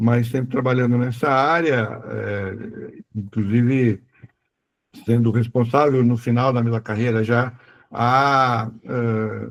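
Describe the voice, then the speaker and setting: A man at a medium pitch, very slow pace and fairly even intonation. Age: 60s. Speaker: retired aviation executive and author. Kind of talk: interview. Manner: halting.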